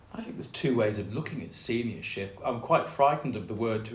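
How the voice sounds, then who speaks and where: The room adds an audible echo. Pitch varies in an ordinary way. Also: man. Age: 60s. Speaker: author and artist. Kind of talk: interview.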